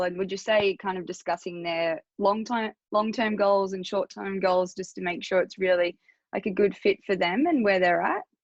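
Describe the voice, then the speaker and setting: Against a quiet background, a woman with an Australian accent talks at a moderate pace with fairly even intonation, the sound dry and close with no echo. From small country town. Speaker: health coach podcast host. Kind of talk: podcast interview.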